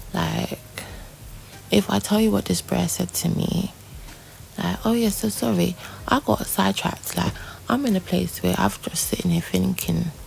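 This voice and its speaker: Soft-spoken, a woman talks with long, frequent pauses over noticeable background noise. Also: moderate pace. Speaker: vlogger. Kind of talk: personal vlog diary. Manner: soft-spoken, muted; rambling, hesitant with many fillers.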